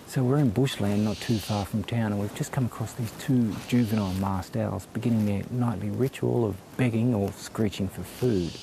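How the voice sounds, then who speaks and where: In an Australian accent, a soft-spoken man with a fairly low pitch talks with hardly any pauses and ordinary pitch variation over noticeable background noise. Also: moderate pace. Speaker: news reporter. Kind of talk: field report piece to camera. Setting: outdoors in bushland at night. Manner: speaking softly.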